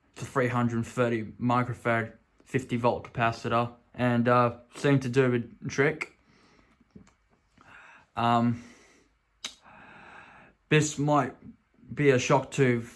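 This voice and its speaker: A man's medium-pitched voice with an Australian accent and monotone, flat intonation. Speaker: vintage electronics restorer. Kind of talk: casual talk to camera. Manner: hesitant, stuttery at points.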